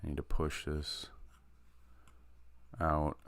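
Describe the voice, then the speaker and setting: This quiet voice moves at a very slow pace. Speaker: artist live-streaming drawing practice. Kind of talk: casual live stream commentary. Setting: live stream. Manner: quiet while concentrating; halting, many fillers.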